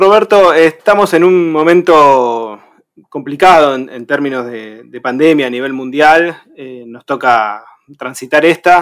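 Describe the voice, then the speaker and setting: A normal speaking voice at a fairly slow pace, with ordinary pitch variation and big swings in loudness. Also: man, fairly high pitch for a man. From Argentina, Buenos Aires province. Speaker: radio co-host. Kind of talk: interview.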